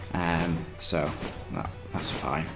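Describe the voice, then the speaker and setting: A man talks with a British accent while music plays behind him. The room echo is audible. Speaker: gaming vlogger. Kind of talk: casual vlog. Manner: hesitant, many ums.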